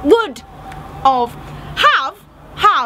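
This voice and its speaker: A raised, projected voice with very wide pitch swings over noticeable background noise. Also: woman. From Wales. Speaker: vlogger. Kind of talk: casual chat. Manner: animated.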